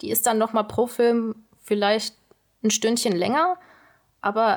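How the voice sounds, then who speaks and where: Speaking at a very slow pace, a woman with a fairly high pitch is heard in a very clean recording with a silent background. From Lower Rhine, western Germany. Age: 20s. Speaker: trainee journalist. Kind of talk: casual discussion.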